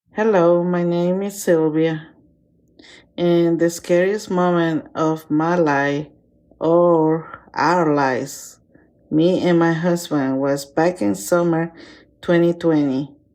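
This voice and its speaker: A woman with a non-native accent and a fairly low pitch speaks at a very slow pace. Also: ordinary pitch variation, quiet background. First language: not English. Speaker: listener sharing a personal story. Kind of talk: personal story recording.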